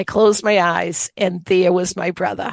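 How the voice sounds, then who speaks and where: With a Boston accent, a woman talks at a moderate pace and medium pitch, the sound dry and close with no echo. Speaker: author, occupational therapist and Reiki master. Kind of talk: interview testimony.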